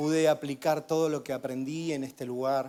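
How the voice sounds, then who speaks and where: Speaking at a fairly slow pace, this voice has a dark, mellow tone and fairly even intonation. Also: man. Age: 50s. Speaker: guest preacher. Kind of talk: sermon with personal testimony.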